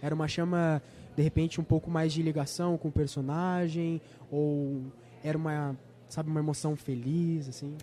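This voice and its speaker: A man's fairly high voice, dark and mellow in tone, at a moderate pace with flat, monotone intonation. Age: 20s. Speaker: student podcast host. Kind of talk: interview. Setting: on location at a film festival.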